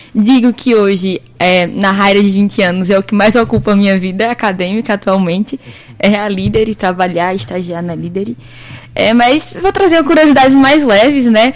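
A woman's intonation is lively as she talks at a moderate speed, noticeable background noise behind her. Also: medium pitch for a woman. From Petrolina, Pernambuco, Brazil. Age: 20s. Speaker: university student, junior company president. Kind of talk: radio interview.

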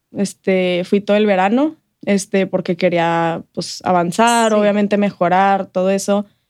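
The woman talks at a fairly slow pace. Her pitch is medium, with ordinary variation. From El Paso, Texas (US–Mexico border). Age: 20s. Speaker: health coach and marketing professional. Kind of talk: interview. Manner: casual, hesitant with repetitions and fillers.

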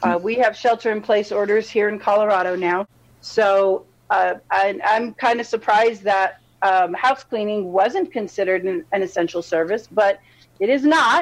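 Using a plain, everyday voice, a woman speaks at a moderate pace and medium pitch with ordinary pitch variation. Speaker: regular participant. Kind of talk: casual chat. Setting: video call.

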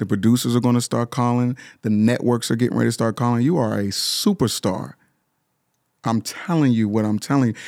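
A man talks at a fairly quick pace, medium in pitch, with ordinary pitch variation and an animated tone. His loudness stays very even in a very clean recording with a silent background. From Pittsburgh, Pennsylvania. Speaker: singer and motivational speaker. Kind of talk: casual interview chat.

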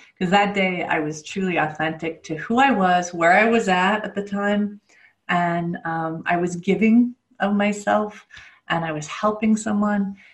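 Somewhat breathy, a woman talks at a fairly slow pace. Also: medium pitch for a woman, ordinary pitch variation. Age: 50s. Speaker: spiritual coach and author. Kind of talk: interview. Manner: hesitant, with filler words.

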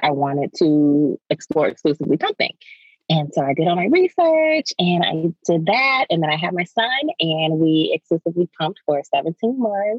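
Using a normal speaking voice with an American accent, a woman talks at a moderate pace and a fairly low pitch, with lively intonation. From US Maryland. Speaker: lactation specialist. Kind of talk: casual interview chat.

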